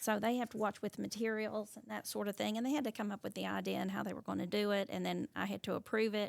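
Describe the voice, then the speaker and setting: A woman with an Appalachian accent at a very fast pace, hardly any pauses, and a dry, close sound with no echo. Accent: Appalachian US Southern. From Eastern Kentucky, Pike County. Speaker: teacher. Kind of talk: interview.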